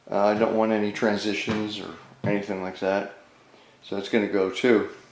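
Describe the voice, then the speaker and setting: A man speaks with a fairly low pitch. There is audible echo from the room. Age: 70s. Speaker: DIY home renovation vlogger. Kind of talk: casual vlog narration. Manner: hesitant, many fillers.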